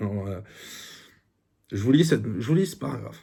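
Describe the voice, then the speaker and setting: A man with a Parisian accent, somewhat breathy, dark and mellow in tone, with lively intonation. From France, Paris. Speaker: YouTuber book reviewer. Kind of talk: book review monologue. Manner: hesitant, many fillers.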